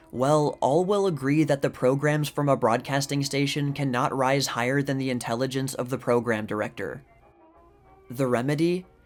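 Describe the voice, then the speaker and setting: A man talks at a moderate pace with a fairly high pitch and ordinary pitch variation. Music plays in the background. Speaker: YouTube history channel host reading period articles. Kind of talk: reading a vintage opinion article aloud.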